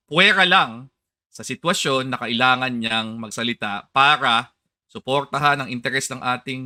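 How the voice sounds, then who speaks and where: Here a man at medium pitch has a bright, sharp tone and lively intonation. He speaks at a fairly quick pace on a very clean recording with a silent background. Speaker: political commentator. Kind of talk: political interview.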